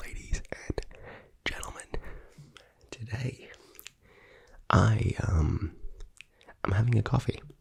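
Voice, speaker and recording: The speaker is a man. He is soft-spoken. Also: long, frequent pauses. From Australia. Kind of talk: ASMR rambling vlog.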